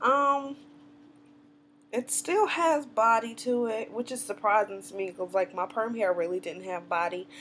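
With a Southern US accent, a woman talks at a moderate pace with lively intonation over light background noise. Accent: Southern US twang. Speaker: natural hair vlogger. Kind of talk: casual talk to camera. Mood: cheerful, chatty. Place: home room. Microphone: webcam.

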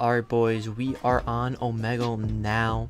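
A man is speaking. Music plays clearly in the background. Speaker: youtuber. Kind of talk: casual vlog chat. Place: home room. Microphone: studio mic.

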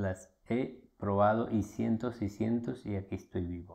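Against a quiet background, a man speaks with a fairly low pitch and a dark, mellow tone. His pace is fairly slow, with ordinary pitch variation. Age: 60s. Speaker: alternative health promoter. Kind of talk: Q&A talk to camera. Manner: informal.

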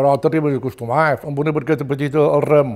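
With a Mallorcan accent, a man speaks at a fairly high pitch. His intonation stays fairly even over a quiet background. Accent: Mallorcan Catalan. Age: 80s+. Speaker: retired fisherman. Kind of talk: oral history testimony. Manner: halting. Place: home room.

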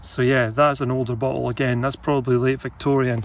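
A man's fairly quick speech with fairly even intonation, dry with no echo, over light background noise. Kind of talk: casual vlog chat. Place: forest. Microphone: phone near.

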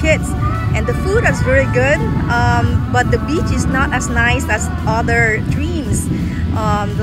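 Loud music plays in the background as a woman speaks at a fairly slow pace, the sound dry with no echo. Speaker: travel vlogger. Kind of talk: casual vlog chat. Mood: cheerful. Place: beach. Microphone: phone near.

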